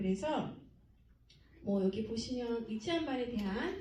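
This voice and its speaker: A woman speaks at a moderate pace with fairly high pitch and very wide pitch swings. Audible room echo fills the recording. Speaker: academy director presenting to parents. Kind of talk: presentation to parents.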